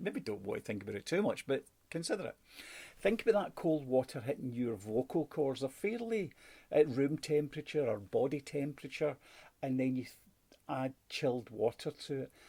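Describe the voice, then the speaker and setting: With a Scottish accent, a man speaks at a moderate pace in a fairly high, dark, mellow voice full of very wide pitch swings. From Scotland. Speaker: sales and customer service trainer. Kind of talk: online training lesson.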